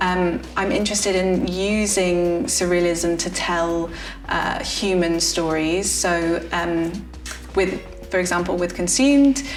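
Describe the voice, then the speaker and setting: A woman with an English accent speaks at a very slow pace and a fairly low pitch, with ordinary pitch variation. Music plays in the background, and there is audible room echo. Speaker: playwright. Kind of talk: interview. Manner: hesitant, frequent fillers.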